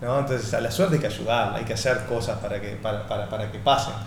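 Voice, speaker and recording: There's noticeable background noise and audible room echo. Through it, a man's intonation stays fairly even. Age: 40s. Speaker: entrepreneur and author. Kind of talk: interview. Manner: hesitant, repeats words and fillers.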